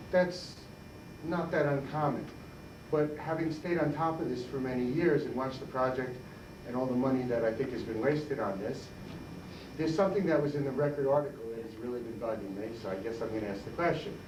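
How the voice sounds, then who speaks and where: A man talks at a fairly quick pace in a medium pitch. Room echo is audible, and the background noise is noticeable. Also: ordinary pitch variation. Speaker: audience member asking a question. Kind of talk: audience question at debate. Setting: public library debate, no microphone. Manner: loud. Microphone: speaking without a microphone.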